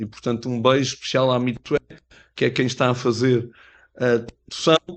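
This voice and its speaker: A man is speaking. The background is quiet. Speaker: mayor. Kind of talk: formal speech at book presentation. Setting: pavilion event with audience, interpreted. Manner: hesitant, many fillers.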